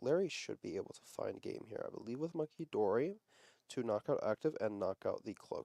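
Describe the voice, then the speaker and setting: A man's quiet, raspy put-on character voice at a fairly quick pace, with big swings in loudness. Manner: quiet, low.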